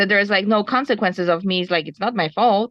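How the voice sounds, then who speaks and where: A woman speaks with a Polish accent. Her pitch is medium and her pace fairly quick. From Poland. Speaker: ski instructor, webinar participant. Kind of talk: webinar discussion.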